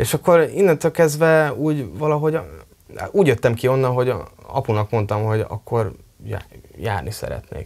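A man talks at medium pitch and a moderate pace, leaving long, frequent pauses. The background is quiet. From Hungary, Tiszakécske near Kecskemét; Hungary. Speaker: drummer and multi-instrumentalist; interviewee. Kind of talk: interview. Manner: halting. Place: studio. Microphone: lapel.

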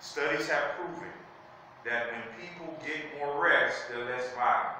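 A man talks at a fairly slow pace amid strong room echo and light background noise. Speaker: bible study teacher. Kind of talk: sermon. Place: church. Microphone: camera far.

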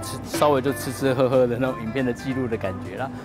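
A man talking at a very fast pace, dry sound with no echo, clear music in the background. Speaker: travel vlogger. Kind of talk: casual vlog chat. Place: street. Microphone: lapel.

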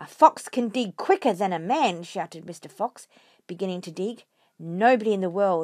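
The background stays quiet while someone reads in an unforced reading voice.

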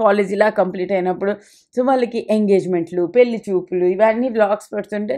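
A woman at a medium pitch has a dark, mellow tone and fairly even intonation, set against a quiet background. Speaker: lifestyle vlogger. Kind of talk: casual vlog narration.

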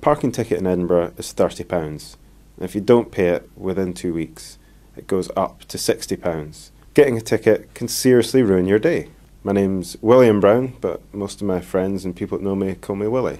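The man's dark, mellow tone sits at a fairly low pitch, with ordinary pitch variation and a moderate pace. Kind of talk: interview answer. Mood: warm, relaxed, slightly wry. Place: office.

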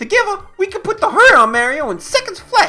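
A put-on character voice at a moderate pace over faint music in the background. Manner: brash, cocky.

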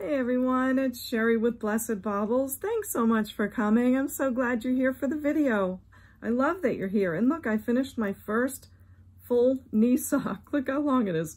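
At a moderate pace, a woman speaks in a high pitch with ordinary pitch variation. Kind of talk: casual vlog chat. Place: home room. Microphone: phone near.

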